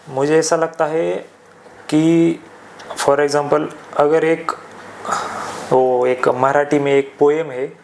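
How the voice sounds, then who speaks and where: With fairly even intonation, a man speaks with long, frequent pauses over noticeable background noise. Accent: Marathi. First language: Marathi (speaking Hindi). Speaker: podcast guest. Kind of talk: casual discussion. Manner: hesitant, many fillers.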